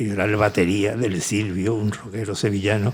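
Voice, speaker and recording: On a very clean recording with a silent background, a man with a fairly low pitch speaks at a moderate pace in a somewhat breathy voice. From Seville, Andalusia, Spain. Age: 70s. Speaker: author and music producer. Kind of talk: interview conversation at a book talk. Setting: conference with audience.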